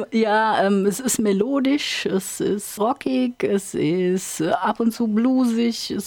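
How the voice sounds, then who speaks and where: This woman's voice sits at medium pitch with ordinary pitch variation. She talks at a very slow pace. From Rhineland-Hesse, Ingelheim am Rhein. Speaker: country singer and band leader. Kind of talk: radio interview. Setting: studio.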